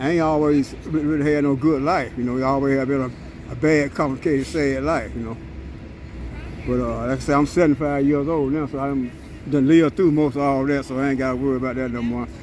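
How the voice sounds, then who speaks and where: Over noticeable background noise, a man with a fairly high pitch talks at a very fast pace in a monotone, flat intonation. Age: 70s. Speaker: homeless man. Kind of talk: street interview. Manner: halting, repetitive.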